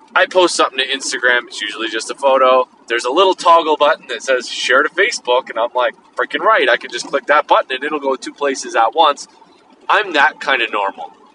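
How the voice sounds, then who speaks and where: A man's fairly high voice at a very fast pace, lively in intonation, with a dry, close sound, no echo, and noticeable background noise. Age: 40s. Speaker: podcast host. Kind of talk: casual monologue. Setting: in a car.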